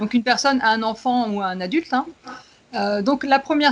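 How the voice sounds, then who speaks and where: Speaking fairly quickly, a woman uses a fairly high voice whose pitch varies in an ordinary way. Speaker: education consultant, specialized educator. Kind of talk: casual expert discussion. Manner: fast.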